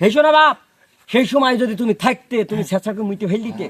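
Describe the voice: Lively intonation marks this man's high-pitched voice, which has a fairly bright tone and a fairly quick pace.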